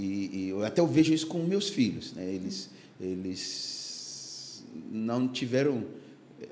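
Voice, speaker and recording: Against noticeable background noise and audible room echo, a man speaks at a very slow pace with very wide pitch swings. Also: medium pitch for a man. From Ghana (Accra). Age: 60s. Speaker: pastor. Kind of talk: podcast interview testimony. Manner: halting, many fillers.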